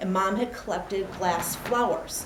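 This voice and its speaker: A woman at medium pitch with fairly even intonation, plus noticeable background noise. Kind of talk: personal storytelling speech.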